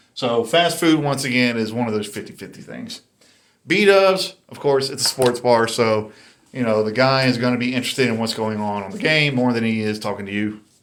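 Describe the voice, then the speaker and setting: Talking at a fairly quick pace in a North Carolina accent, a man swings widely in loudness. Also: medium pitch for a man, ordinary pitch variation. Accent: Southern US, North Carolina. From US South, North Carolina. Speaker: YouTuber, dating commentator. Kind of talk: casual monologue commentary. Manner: casual, conversational.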